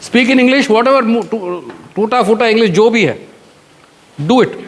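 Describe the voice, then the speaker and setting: Over noticeable background noise, a man with a Marathi accent speaks at a fairly quick pace in a high pitch. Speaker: retired air force officer, mentor. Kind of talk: motivational guidance talk to students. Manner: code-switches between English and Hindi.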